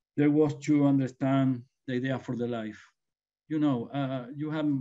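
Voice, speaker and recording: In a Spanish accent, a man speaks with a dark, mellow tone. His intonation stays fairly even. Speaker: winemaker. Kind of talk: panel discussion. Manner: halting.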